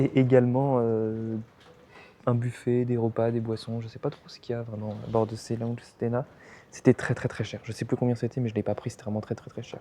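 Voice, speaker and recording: A soft-spoken man talks at a fairly quick pace with a dark, mellow tone. His intonation is monotone and flat, yet his loudness swings widely. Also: medium pitch for a man. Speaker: travel vlogger. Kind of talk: casual vlog narration. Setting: lounge aboard a ferry.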